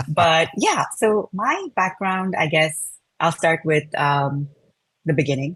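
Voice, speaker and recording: A woman with a fairly low pitch talks at a very slow pace, her loudness very even throughout. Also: ordinary pitch variation. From India. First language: Telugu. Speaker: product design manager. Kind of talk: interview. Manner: frequent fillers, uh and um.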